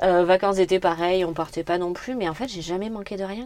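Her pitch medium, a woman talks at a fairly quick pace. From France, Corrèze (Brive area). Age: 30s. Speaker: entrepreneur. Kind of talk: interview. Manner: energetic.

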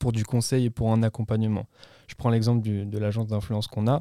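A man speaks at medium pitch in a dark, mellow tone. The sound is dry and close with no echo, a very clean recording with a silent background. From France, Yvelines (Paris region). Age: 20s. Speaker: agency founder. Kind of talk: interview. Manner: casual, hesitant with fillers.

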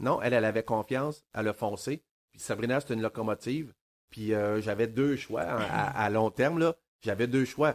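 In a Quebec accent, a man speaks at a medium pitch and moderate pace with ordinary pitch variation, in a dry, close sound with no echo. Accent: Québécois French. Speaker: podcast co-host, author. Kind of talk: casual chat.

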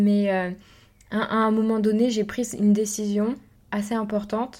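The recording is very clean, with a silent background. A woman with a dark, mellow tone and medium pitch speaks at a fairly slow pace. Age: 20s. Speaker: entrepreneur and podcast host. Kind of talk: personal monologue. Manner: halting.

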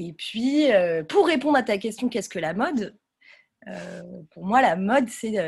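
Vocal fry runs through a woman's fairly high voice as she talks at a fairly slow pace, her pitch swinging very widely and her loudness shifting greatly, with long, frequent pauses. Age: 30s. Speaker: fashion brand founder. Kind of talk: casual interview.

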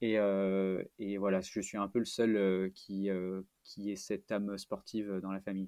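Speaking at a fairly slow pace, this man has a fairly low pitch and a monotone, flat intonation. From France, Auvergne (Clermont-Ferrand). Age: 20s. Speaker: trail runner. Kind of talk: long-form interview. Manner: halting, many hesitations.

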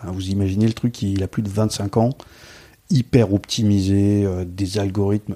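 A man's fairly low voice, dark and mellow in tone. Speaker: software developer and conference speaker. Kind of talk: podcast interview. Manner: animated.

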